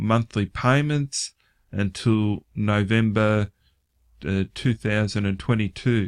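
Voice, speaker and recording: With an Australian accent, a man speaks very slowly at a fairly low pitch and a fairly even intonation. The sound is dry and close with no echo, on a very clean recording with a silent background. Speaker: online finance vlogger. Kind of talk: casual vlog commentary. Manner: halting, many filler words.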